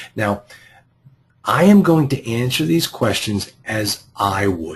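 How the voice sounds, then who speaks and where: In a Boston accent, a man speaks very slowly with a somewhat breathy voice and very wide pitch swings. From US Northeast, Boston. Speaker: real estate investing coach. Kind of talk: group coaching call. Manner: halting, frequent repeated words.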